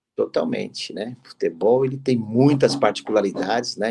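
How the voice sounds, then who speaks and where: A man is speaking. His pace is fairly slow. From Brazil. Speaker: football club executive; guest. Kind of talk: interview. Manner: halting, many fillers. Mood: relaxed, conversational. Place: home room. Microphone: video call.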